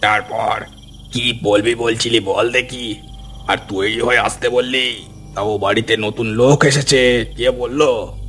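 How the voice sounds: Over clear background noise, a man uses a cartoonish character voice at medium pitch, delivered fairly slowly in a monotone, flat intonation.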